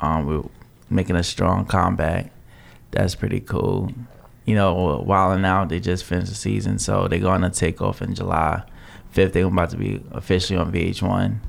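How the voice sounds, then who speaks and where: Vocal fry marks this man's very deep, low voice, with ordinary pitch variation. He keeps a moderate pace with long, frequent pauses. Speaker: poet and event host. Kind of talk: casual chat.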